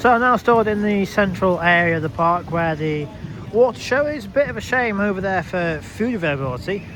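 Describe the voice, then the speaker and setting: The speech comes at a fairly quick pace with lively intonation. Noticeable background noise is present. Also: man, high pitch for a man. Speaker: theme park vlogger. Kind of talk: walking vlog commentary. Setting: outdoors at a theme park. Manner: halting, stumbling over words.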